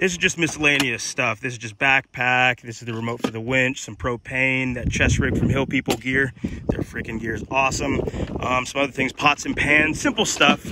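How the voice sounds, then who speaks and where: Despite loud background noise, a man's voice sounds dry and free of echo. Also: moderate pace. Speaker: solo explorer vlogger. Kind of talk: casual vlog chat. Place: open country. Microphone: phone near.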